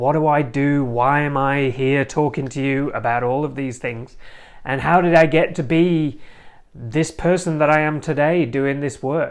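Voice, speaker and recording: A man's fairly high voice at a fairly slow pace. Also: fairly even intonation. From northern England. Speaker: podcast host, relationship coach. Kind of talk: personal introduction monologue. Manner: casual, some hesitations.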